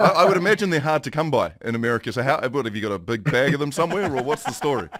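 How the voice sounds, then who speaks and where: Very fast and with very wide pitch swings, a man with a New Zealand accent talks at a fairly high pitch. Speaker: morning TV host. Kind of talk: interview.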